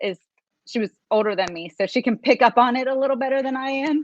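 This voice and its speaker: In a high voice with ordinary pitch variation, a woman speaks with an American accent. The sound is dry and close, with no echo. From US East Coast, Maryland. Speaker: lawyer and judicial candidate. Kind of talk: interview. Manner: hesitant, many fillers.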